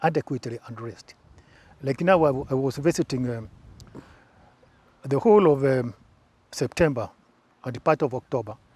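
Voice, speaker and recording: Somewhat breathy, a man speaks with long, frequent pauses. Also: dry, close sound with no echo. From Kenya, Embu. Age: 70s. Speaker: former presidential press secretary. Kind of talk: interview. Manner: halting.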